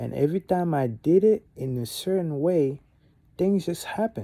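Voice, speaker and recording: A man in a French accent, dark and mellow in tone, at a moderate pace with lively intonation. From Gabon. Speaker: vlogger. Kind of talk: casual monologue.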